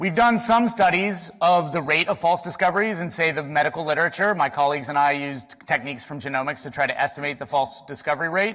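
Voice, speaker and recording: A man talks very fast at a fairly high pitch, with hardly any pauses and ordinary pitch variation. Noticeable background noise sits behind him. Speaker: statistician, symposium speaker. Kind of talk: conference talk.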